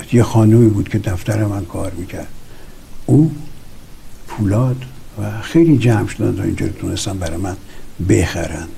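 A man's fairly low voice with lively intonation, a moderate pace and long, frequent pauses, amid noticeable background noise and audible room echo. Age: 70s. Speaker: film director. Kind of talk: interview testimony. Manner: halting.

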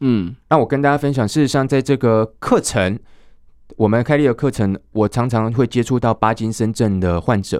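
A man's ordinary speaking voice at medium pitch and a moderate pace, with ordinary pitch variation, very even loudness, a dry, close sound with no echo, and a very clean recording with a silent background. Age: 30s. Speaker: Nordic walking instructor and association chairman. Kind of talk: interview.

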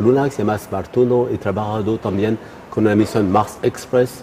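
A man with a non-native accent, fairly low pitch, fairly even intonation, moderate pace and noticeable background noise. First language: not Spanish (speaking Spanish). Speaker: astrophysicist. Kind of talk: interview. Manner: halting, many fillers.

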